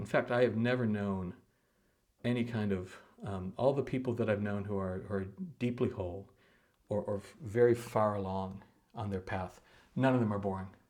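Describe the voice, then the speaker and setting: Man with a Midwestern American accent and fairly even intonation. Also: long, frequent pauses. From US Midwest. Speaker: meditation teacher. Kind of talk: casual talk to camera. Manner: fast; halting, many repeated words.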